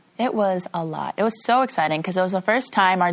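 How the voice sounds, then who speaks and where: A woman with an American accent, an ordinary speaking voice, medium pitch and ordinary pitch variation. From Chicago. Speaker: college track athlete. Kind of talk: interview.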